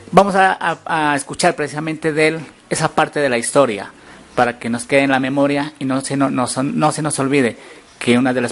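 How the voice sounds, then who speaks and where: A man speaks at a fairly quick pace in a medium pitch, with noticeable background noise. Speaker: journalist. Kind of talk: local TV interview, presenter speaking.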